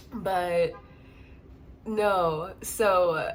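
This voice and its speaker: Here a woman speaks at a medium pitch. Her tone is animated. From US Midwest, St. Louis, Missouri. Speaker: exotic dancer, storyteller vlogger. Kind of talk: storytime monologue. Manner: animated, casual.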